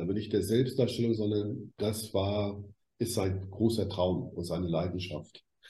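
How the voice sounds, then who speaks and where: A man speaks at a moderate pace in a fairly low, somewhat breathy voice. His tone is dark and mellow, and the room echo is audible. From West Germany. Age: 60s. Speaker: media expert. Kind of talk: interview.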